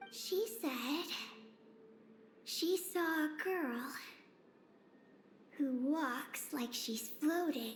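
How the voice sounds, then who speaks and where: A put-on character voice speaks high and at a very slow pace. Long, frequent pauses break it up, and clear background noise runs underneath. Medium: video game. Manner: brief, calm, matter-of-fact.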